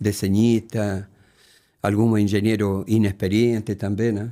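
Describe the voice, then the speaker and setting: In a very clean recording with a silent background, a man speaks fairly slowly in a fairly low, dark, mellow voice with monotone, flat intonation. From Chile. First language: Spanish (speaking Portuguese). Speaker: retired engineer, host's father. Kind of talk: casual family interview.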